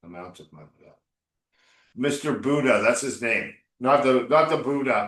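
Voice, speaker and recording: Using lively intonation and some vocal fry, a man speaks at a fairly high pitch and a moderate pace, with long, frequent pauses. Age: 60s. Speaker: English coach. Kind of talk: one-on-one English lesson. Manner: casual, encouraging.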